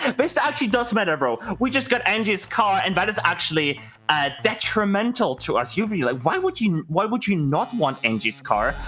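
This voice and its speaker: Over music in the background, a man with a German accent speaks in a raised, projected voice at a high pitch, his pitch swinging very widely while his loudness stays very even. His pace is moderate. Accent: German accent, mispronounces words. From Germany. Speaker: video game speedrunner. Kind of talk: live gameplay commentary. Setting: live charity stream. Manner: talkative, non-stop.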